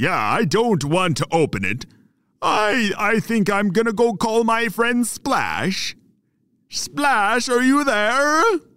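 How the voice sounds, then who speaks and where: A man's put-on character voice, high-pitched and very slow. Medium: read story. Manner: rambling, genteel, unhurried.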